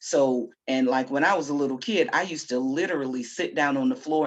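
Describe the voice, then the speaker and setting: Keeping a moderate pace, a woman talks with lively intonation. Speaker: poet and discussion co-host. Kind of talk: casual discussion. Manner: loud, confident.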